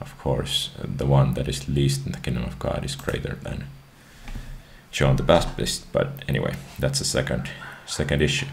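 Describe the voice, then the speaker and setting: This man's pitch is very deep and low, his intonation monotone and flat. Long, frequent pauses break his speech amid light background noise. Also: moderate pace. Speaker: video creator. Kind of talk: reading scripture and casual commentary. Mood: calm, somewhat hesitant. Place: home room. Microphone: headset.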